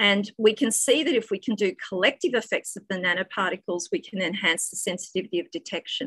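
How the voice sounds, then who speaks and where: Speaking at a very fast pace with hardly any pauses, a woman uses a medium pitch and lively intonation in a dry, close sound with no echo. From Australia. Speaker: physics professor. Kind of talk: academic talk. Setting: video call.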